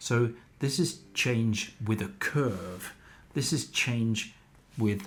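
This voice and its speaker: This man's somewhat breathy voice sits at a medium pitch, moving at a very slow pace with ordinary pitch variation. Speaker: climate educator. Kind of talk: lecture.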